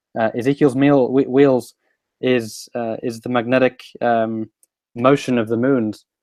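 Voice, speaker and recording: The speech comes fairly slowly in a London accent, with monotone, flat intonation and a dry, close sound that has no echo. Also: man, medium pitch for a man. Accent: sounds like from London. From Sweden. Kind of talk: casual chat. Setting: live stream. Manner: halting.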